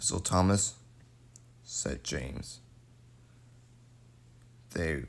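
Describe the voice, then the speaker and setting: A man speaks at a very deep, low pitch with vocal fry. His pitch swings very widely. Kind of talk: read story.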